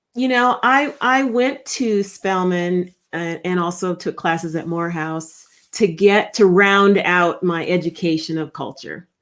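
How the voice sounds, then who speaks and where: A woman at medium pitch speaks at a fairly slow pace with ordinary pitch variation and hardly any pauses. The recording is very clean, with a silent background. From Minnesota (Rochester). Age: 50s. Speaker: leadership strategist and author. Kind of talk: interview conversation.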